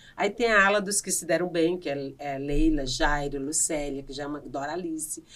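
In a strong northeastern Brazilian accent, a woman talks in an animated tone with a very deep, low pitch and hardly any pauses. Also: ordinary pitch variation, moderate pace, big swings in loudness. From Brazilian Northeast, Piauí. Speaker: comedian and actress. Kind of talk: casual interview chat.

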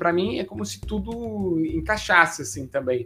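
Over noticeable background noise, a man talks in a fairly high pitch with very wide pitch swings. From Brazil, Santos (São Paulo state). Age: 20s. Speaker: career YouTuber, account manager. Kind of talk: monologue to camera, personal career story. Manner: casual, many fillers (né, é).

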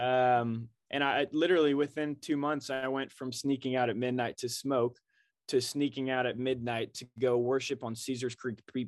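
Against a quiet background, a man with a plain, everyday voice speaks at a moderate pace, his medium pitch held in fairly even intonation. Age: 20s. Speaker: co-working space salesman. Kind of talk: casual chat.

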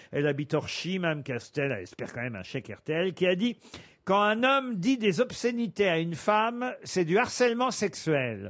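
With a Norman accent, a man speaks at a moderate pace in a high pitch with very wide pitch swings. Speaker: radio game show host. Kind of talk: comedy panel show. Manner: animated.

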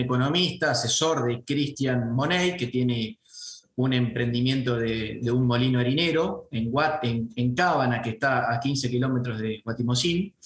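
With a Santa Fe accent, a man speaks at a medium pitch and a fairly slow pace, using ordinary pitch variation. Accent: Argentine Spanish (rioplatense, Santa Fe). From Argentina, Venado Tuerto (Santa Fe). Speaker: franchise business owner. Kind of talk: interview. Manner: halting, many fillers and repetitions.

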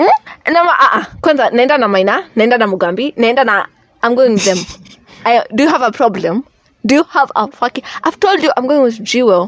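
A woman with a high pitch and lively intonation speaks at a moderate pace, keeping her loudness very even. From Kenya. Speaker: podcast host. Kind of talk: casual chat.

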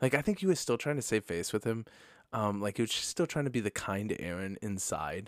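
In a very clean recording with a silent background and dry, close sound without echo, a man with an American accent speaks at a fairly quick pace with lively intonation. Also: fairly low pitch for a man. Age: 30s. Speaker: podcast co-host, pastor. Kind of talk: casual chat.

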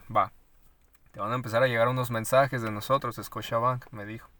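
The speaker has a bright, sharp tone and talks at a fairly quick pace. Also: man. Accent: Mexican. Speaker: podcast co-host. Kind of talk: casual chat.

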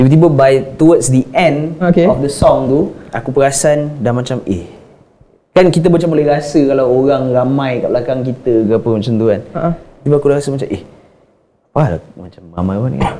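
A man speaks at a fairly quick pace in an ordinary speaking voice. His pitch is fairly high, with ordinary variation. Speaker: podcast co-host. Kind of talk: casual chat.

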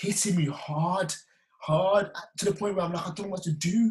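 Here a man speaks in a West Midlands accent at a moderate pace. His pitch is high, with ordinary pitch variation. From West Midlands, England (Wolverhampton). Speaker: filmmaker and personal trainer. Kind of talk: testimony.

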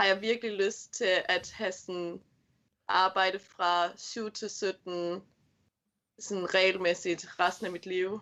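In a bright, sharp, medium-pitched voice, a woman speaks at a very slow pace with monotone, flat intonation. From Sylt and Flensburg, Germany (Danish minority). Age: 20s. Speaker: kindergarten teacher. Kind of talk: interview.

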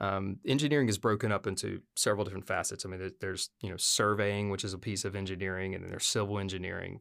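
A man with a fairly low pitch speaks at a very fast pace on a very clean recording with a silent background. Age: 40s. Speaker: residential designer and business owner. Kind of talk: casual interview.

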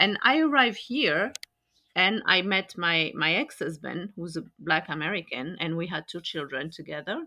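A woman with a French accent, fairly low pitch and lively intonation. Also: moderate pace. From France. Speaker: podcast host. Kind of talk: casual conversation podcast.

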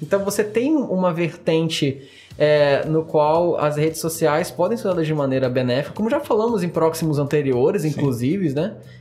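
Over noticeable background noise, a man speaks at a moderate pace and fairly high pitch, with ordinary pitch variation and very even loudness. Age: 20s. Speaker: podcast host. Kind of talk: casual chat. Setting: studio.

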